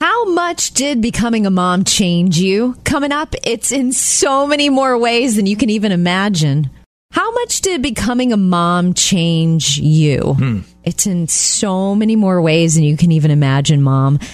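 Through noticeable background noise, a woman speaks at a fairly slow pace with very wide pitch swings and very even loudness. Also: medium pitch for a woman. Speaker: radio host. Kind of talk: casual chat. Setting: studio.

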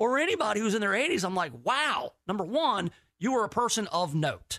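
In a raised, projected voice with a bright, sharp tone, a man with high pitch talks at a fairly quick pace with lively intonation. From Tennessee, Memphis. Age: 40s. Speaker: fill-in radio host. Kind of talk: talk radio monologue.

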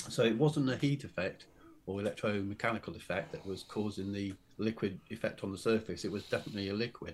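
Speaking very fast with a British accent, a man uses a fairly low pitch and ordinary pitch variation. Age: 60s. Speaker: author and UFO witness. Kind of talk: interview.

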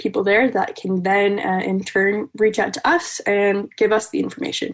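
A woman with an American accent speaks at a moderate pace. Her pitch is medium, in an ordinary speaking voice. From Wisconsin. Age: 20s. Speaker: ski jumper. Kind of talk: interview.

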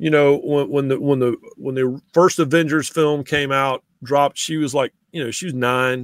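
On a very clean recording with a silent background, a man's fairly high pitch and fairly even intonation come through with a dry, close sound and no echo. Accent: Southern. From eastern North Carolina (Raleigh). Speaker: sports writer. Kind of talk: casual chat.

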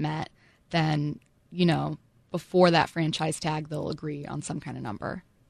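In a dry, close sound with no echo, a woman talks at a very deep, low pitch. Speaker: radio sports co-host. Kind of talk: sports talk radio banter. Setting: radio studio. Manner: quick, chatty, wry, laughing.

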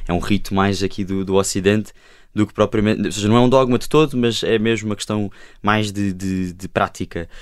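Fairly low-pitched man at a fairly quick pace in a very clean recording with a silent background. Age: 20s. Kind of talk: panel discussion. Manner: halting.

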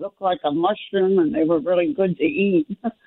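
Medium-pitched and at a moderate pace, a woman's unremarkable speaking voice. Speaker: caller. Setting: phone call.

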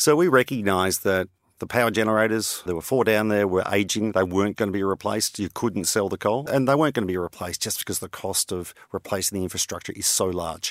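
Someone with an Australian accent talks at a very fast pace with ordinary pitch variation. The recording is very clean with a silent background and a dry, close sound with no echo. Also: man, fairly low pitch for a man. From Australia (Victoria). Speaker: energy company CEO and entrepreneur. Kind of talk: interview. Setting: studio.

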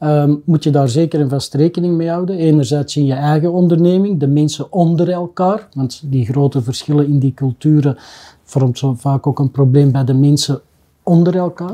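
This man's fairly high voice has a dark, mellow tone, and his pace is moderate. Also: ordinary pitch variation. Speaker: business owner. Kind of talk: casual chat.

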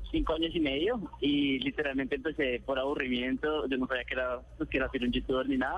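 A man talks at a moderate pace, his pitch varying in an ordinary way, with noticeable background noise behind him. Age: 20s. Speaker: youtuber. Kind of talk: phone interview. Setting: phone call. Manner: halting.

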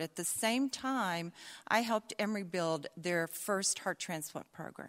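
A woman with a slight Southern US accent speaks with lively intonation on a very clean recording, with a silent background and a dry, close sound with no echo. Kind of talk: live storytelling. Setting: stage with audience.

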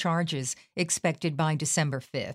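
Here a woman has a normal speaking voice, fairly low in pitch with ordinary variation. The recording is very clean and dry, close with no echo, over a silent background. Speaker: news podcast host. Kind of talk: news bulletin reading. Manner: formal; measured, somber newsreader delivery.

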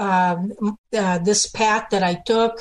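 A woman talks at a fairly slow pace in an unremarkable speaking voice. Her pitch is medium and her intonation fairly even. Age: 60s. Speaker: political activist. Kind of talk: radio interview.

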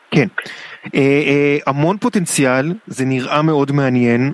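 At a fairly slow pace, a man talks in an ordinary speaking voice, medium in pitch with ordinary pitch variation. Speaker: radio culture show host. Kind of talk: casual radio interview. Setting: radio studio.

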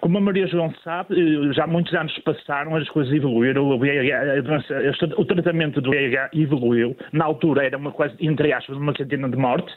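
Over noticeable background noise, a man with a fairly high pitch talks with fairly even intonation and hardly any pauses. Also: moderate pace. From northern Portugal (Matosinhos). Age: 40s. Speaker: person living with HIV, retired. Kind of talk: testimony. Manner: halting.

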